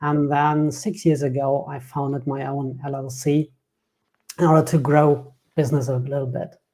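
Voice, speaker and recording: With a slight German accent, a man speaks at a moderate pace in a fairly high pitch, his dark, mellow tone somewhat breathy and his intonation monotone and flat. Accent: German, subtle. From Germany. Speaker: software developer and business founder. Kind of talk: interview podcast.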